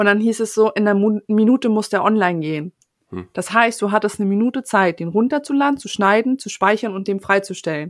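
A woman with an unremarkable speaking voice talks at a fairly high pitch and fairly quick pace, with ordinary pitch variation, on a very clean recording with a silent background. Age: 20s. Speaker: podcast editor. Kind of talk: casual chat.

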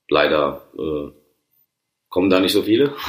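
A man speaks at a very slow pace. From Rhineland-Palatinate, Neuwied. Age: 30s. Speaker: chef. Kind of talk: casual interview. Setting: at his workplace.

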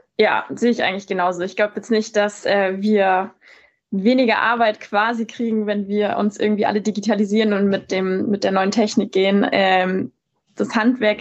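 A woman talks at a moderate pace with a medium pitch and monotone, flat intonation. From Bavaria, Munich. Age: 20s. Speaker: tinsmith and trade influencer. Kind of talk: casual interview.

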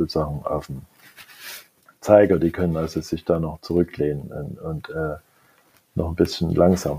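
A man talks at a moderate pace with a dark, mellow tone. His pitch varies in an ordinary way. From East Germany. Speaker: technology executive. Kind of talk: interview. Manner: halting, many fillers.

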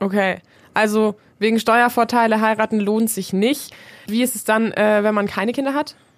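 In a normal speaking voice, a woman with a fairly high pitch speaks at moderate speed, her intonation fairly even. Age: 20s. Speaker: student radio host. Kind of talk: moderated discussion.

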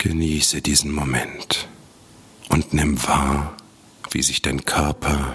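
Whispering in a soothing, gentle tone, a man is heard over noticeable background noise. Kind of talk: guided meditation. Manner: slow, soft, soothing, gentle; calm, unhurried, with long pauses.

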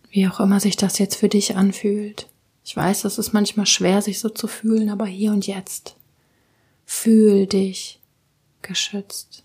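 A woman speaks at a very slow pace with long, frequent pauses, her medium-pitched voice somewhat breathy. Her tone is dark and mellow, and her intonation stays monotone and flat. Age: 20s. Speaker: podcast host, tapping meditation guide. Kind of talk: guided meditation. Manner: calm.

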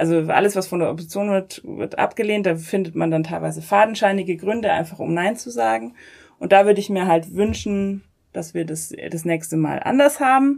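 A woman's plain, everyday voice at medium pitch, fairly quick and lively in intonation, on a very clean recording with a silent background. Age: 30s. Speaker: politician. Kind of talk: interview. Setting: coworking space.

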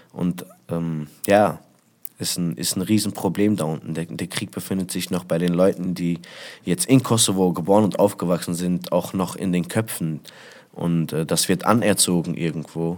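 Speaking at a moderate pace, a man uses a very deep, low pitch and ordinary pitch variation. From Germany, Essen (Ruhr area). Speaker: rapper. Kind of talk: interview.

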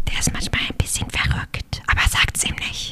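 A woman is speaking. She is whispering. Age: 30s. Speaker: podcast co-host and family manager. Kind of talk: casual chat.

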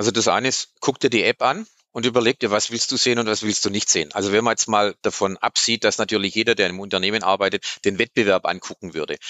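Delivery is very fast. Pitch movement remains fairly even throughout. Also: man, fairly low pitch for a man. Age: 50s. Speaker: PR manager. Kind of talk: casual interview. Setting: studio.

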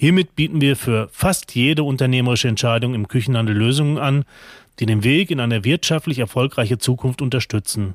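A man's plain, everyday voice at medium pitch, with very even loudness, ordinary pitch variation and a dry, close sound with no echo on a very clean recording against a silent background. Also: fairly quick pace. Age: 40s. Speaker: kitchen retail group executive. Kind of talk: interview.

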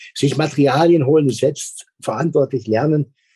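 A man with a fairly high pitch and a dark, mellow tone speaks somewhat breathily at a fairly quick pace, the sound dry and close with no echo. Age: 60s. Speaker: school principal. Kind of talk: interview.

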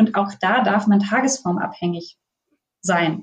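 The woman's voice sits at a medium pitch. There is a somewhat breathy quality to it. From northern Germany. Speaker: veterinarian specializing in pet nutrition. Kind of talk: interview.

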